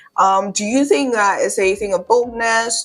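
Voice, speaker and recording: Noticeable background noise fills the recording. Through it, a woman talks at a moderate pace. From Nigeria. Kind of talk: casual talk to camera.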